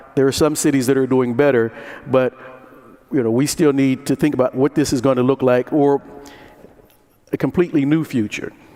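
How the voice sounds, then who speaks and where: Against noticeable background noise, a man with an American accent speaks at a fairly quick pace, his fairly high pitch held in fairly even intonation. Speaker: conference moderator. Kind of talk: conference talk to audience. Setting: conference room with audience.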